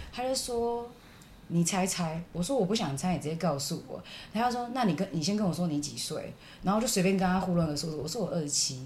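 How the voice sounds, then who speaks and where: A woman speaks with lively intonation over noticeable background noise, and audible room echo is present. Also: fairly low pitch for a woman, fairly quick pace. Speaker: podcast co-host. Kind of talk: casual chat.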